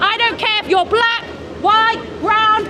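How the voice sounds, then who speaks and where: Crowd noise fills the background while a woman speaks at a moderate pace. Her pitch is extremely high, and the room echo is audible. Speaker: street protester. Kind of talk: heated debate. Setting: outdoors, street crowd. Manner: loud; animated.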